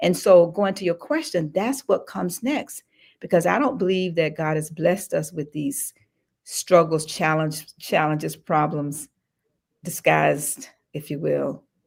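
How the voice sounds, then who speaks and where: Someone talks at a fairly slow pace with ordinary pitch variation while music plays in the background. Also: woman, fairly low pitch for a woman. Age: 70s. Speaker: general contractor and wealth-building author. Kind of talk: podcast interview.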